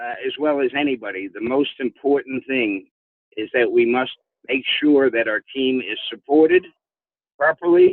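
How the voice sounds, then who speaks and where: Here a man has a normal speaking voice, with medium pitch, ordinary pitch variation and a moderate pace. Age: 60s. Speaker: company founder and CEO. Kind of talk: corporate conference call address. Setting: phone line.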